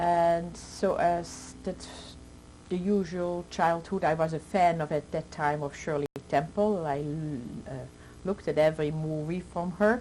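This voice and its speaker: Speaking at a fairly slow pace, a woman with a Dutch accent has a dark, mellow tone. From Netherlands, Amsterdam. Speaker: Holocaust survivor. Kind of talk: testimony. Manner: halting.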